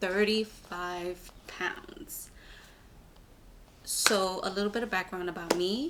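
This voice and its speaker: In a New York accent, the speaker talks in an animated tone. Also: woman. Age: 20s. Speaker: vlogger. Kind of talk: casual vlog monologue. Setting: filming herself on camera. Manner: animated, rambling.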